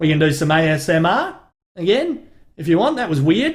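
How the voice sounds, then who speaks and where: A man in a strong Australian accent, fairly high in pitch, at a moderate pace. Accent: broad Australian. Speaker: comedy YouTuber and podcast host. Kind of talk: casual live-stream chat. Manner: casual, sweary.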